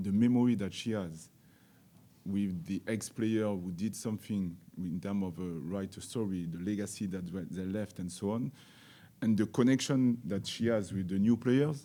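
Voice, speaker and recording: Heard on a very clean recording over a silent background, a man with a French accent speaks at a moderate pace in a fairly low voice with ordinary pitch variation. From France. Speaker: football coach. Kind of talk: press conference. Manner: halting.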